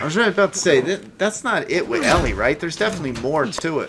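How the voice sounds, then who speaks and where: A man's voice moves through very wide pitch swings. Noticeable background noise runs underneath. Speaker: gaming streamer. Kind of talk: let's play commentary. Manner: casual, animated.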